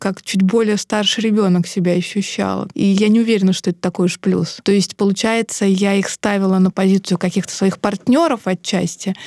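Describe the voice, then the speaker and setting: A woman's dark, mellow tone at a medium pitch, fairly quick with hardly any pauses, fairly even intonation and very even loudness, in a dry, close sound with no echo and a very clean recording with a silent background. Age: 40s. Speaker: podcast co-host. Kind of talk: casual chat.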